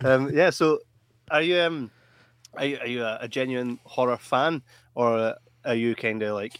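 In a very clean recording with a silent background, a man at medium pitch speaks at a fairly slow pace with long, frequent pauses and ordinary pitch variation. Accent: Scottish. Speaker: podcast host. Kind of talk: live podcast interview.

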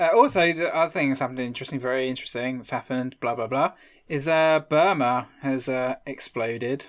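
Speaking at a fairly quick pace, a man with an unremarkable speaking voice keeps a medium pitch with ordinary variation on a very clean recording with a silent background. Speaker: history podcast host. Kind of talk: casual chat with storytelling.

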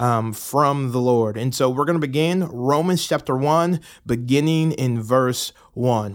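A man with an American accent in a plain, everyday voice, at a fairly slow pace with ordinary pitch variation. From US South, Atlanta, Georgia. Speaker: pastor. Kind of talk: bible reading with commentary.

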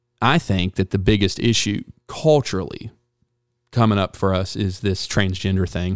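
A man talks at a moderate pace in a fairly low pitch. He has an unremarkable speaking voice with ordinary pitch variation. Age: 30s. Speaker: podcast host. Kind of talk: casual chat.

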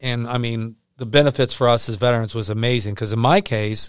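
On a very clean recording with a silent background and a dry, close sound with no echo, a man with a normal speaking voice and medium pitch talks at a fairly quick pace. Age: 60s. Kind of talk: interview. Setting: studio.

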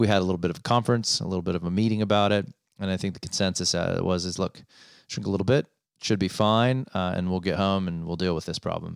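Very fast speech from a man with a very deep, low voice and fairly even intonation, very cleanly recorded against a silent background. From Rocky Mountains region, North America. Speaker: podcast host. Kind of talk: casual solo podcast monologue. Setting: office. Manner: monotone at times; hesitant, filler-heavy.

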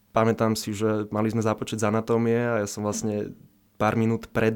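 A man's medium-pitched voice at a moderate pace, monotone with flat intonation. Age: 20s. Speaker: medical student and back pain patient. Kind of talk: interview. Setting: studio. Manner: halting.

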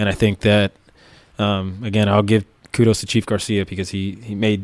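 In an American accent, a man talks fairly quickly in a fairly low, flat monotone, the sound dry and close with no echo. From South Florida, Miami. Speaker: police officer. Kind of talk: casual interview.

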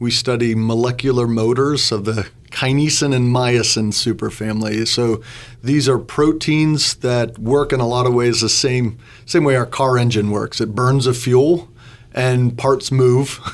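A man with an American accent speaks at a fairly slow pace and medium pitch. It is a plain, everyday voice with fairly even intonation. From western Pennsylvania, Butler County. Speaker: biochemistry professor. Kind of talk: radio interview.

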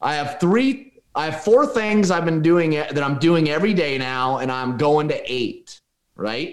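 A man with an American accent speaks at a fairly high pitch and a fairly slow pace, with very wide pitch swings. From US Pacific Northwest, Oregon. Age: 40s. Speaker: real estate investor and business coach. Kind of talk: casual interview conversation.

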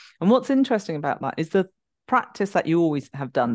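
In a London accent, a woman speaks with a very deep, low pitch, the sound dry and close with no echo and the background quiet. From London, England. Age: 50s. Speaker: somatic movement educator and author. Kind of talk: interview conversation.

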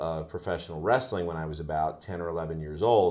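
The background is quiet. A man with an American accent speaks in a very deep, low pitch. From northern New Jersey. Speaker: educator, entertainer and announcer. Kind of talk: interview.

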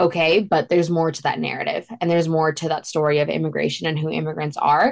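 With an American accent, a woman talks at a very fast pace with hardly any pauses, her very deep, low pitch held in fairly even intonation. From Queens, New York. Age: young. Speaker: non-profit founder and college student. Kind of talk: interview.

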